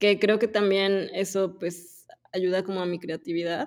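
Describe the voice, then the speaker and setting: A woman with a plain, everyday voice speaks at a medium pitch with fairly even intonation on a very clean recording with a silent background. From Mexico (Puebla). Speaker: agency co-founder and director. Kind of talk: interview.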